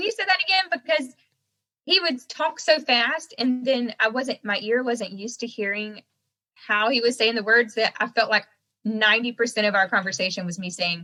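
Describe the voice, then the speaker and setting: With an American accent, a woman speaks at a moderate pace with lively intonation. Her voice is fairly high, with a bright, sharp tone. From North Carolina, US South. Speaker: singer-songwriter. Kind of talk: interview.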